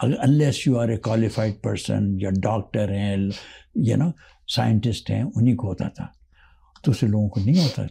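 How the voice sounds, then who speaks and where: Fairly low in pitch and somewhat breathy, a man speaks at a moderate pace in a dark, mellow tone with ordinary pitch variation. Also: quiet background. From Pakistan (born Hyderabad Deccan, India); Pakistan. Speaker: retired lawyer, immigrant; retired lawyer. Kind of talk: interview storytelling. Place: studio. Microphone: lapel.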